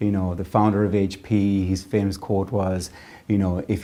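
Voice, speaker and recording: In an Irish accent, a man with a fairly low pitch and a dark, mellow tone talks at a moderate pace with monotone, flat intonation. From Ireland. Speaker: tech business leader. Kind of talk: interview.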